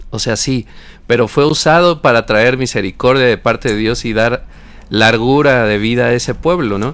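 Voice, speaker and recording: At a moderate pace, a man speaks in an unremarkable speaking voice with a medium pitch. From Mexico. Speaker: radio co-host. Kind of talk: radio Bible discussion.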